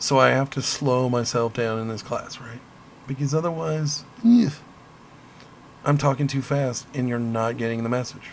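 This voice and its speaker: In a Midwestern accent, a man speaks at a medium pitch with fairly even intonation. His pace is moderate, broken by long, frequent pauses. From US Midwest. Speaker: college instructor. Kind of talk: lecture.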